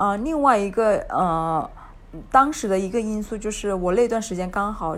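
A woman speaks with a Hunan accent at a medium pitch. Her pace is moderate, with ordinary pitch variation. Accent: Hunan-accented Mandarin, noticeable. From Hunan, China. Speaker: backpacker guest. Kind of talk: casual interview chat. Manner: casual, easygoing, laughs often.

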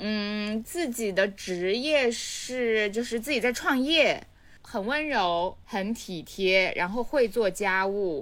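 Here a woman talks at a very slow pace in a Hunan accent. Her intonation is lively. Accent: Hunan-accented Mandarin. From Changsha, Hunan, China. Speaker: podcast co-host. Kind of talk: casual chat.

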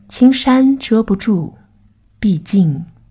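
Somewhat breathy and dark, mellow in tone, a woman's voice moves with lively intonation. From Shanghai. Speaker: podcast guest presenter. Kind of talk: scripted narration.

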